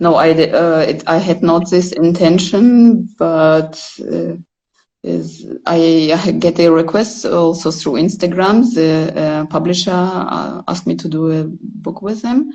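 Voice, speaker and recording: A woman's fairly low voice with a dark, mellow tone and a Russian accent, at a fairly slow pace with ordinary pitch variation. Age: 40s. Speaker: photographer. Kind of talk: casual chat. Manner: halting.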